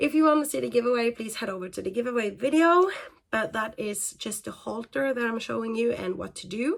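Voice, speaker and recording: Speaking with a non-native accent, a woman uses lively intonation at a fairly high pitch. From Norway. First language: Norwegian. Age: 30s. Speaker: equestrian vlogger. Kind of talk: casual talk video. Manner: hesitant, many fillers.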